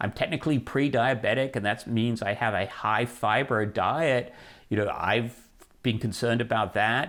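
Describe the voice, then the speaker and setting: In an ordinary speaking voice, a man talks at a moderate pace and medium pitch, with very even loudness, fairly even intonation, and a very clean recording over a silent background. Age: 60s. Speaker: personal finance writer. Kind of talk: interview. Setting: recorded interview, seated.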